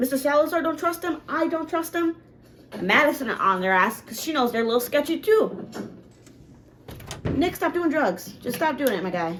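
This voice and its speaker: With very wide pitch swings and an animated tone, the speaker moves at a moderate pace, broken by long, frequent pauses. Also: woman, high pitch for a woman. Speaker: reaction youtuber. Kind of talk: reaction commentary.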